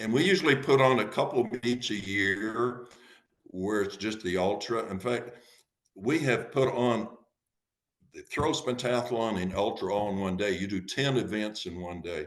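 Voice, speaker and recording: The man's pitch sits fairly low. Audible room echo surrounds his voice. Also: ordinary pitch variation, moderate pace. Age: 70s. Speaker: masters track and field thrower, club president. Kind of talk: podcast interview.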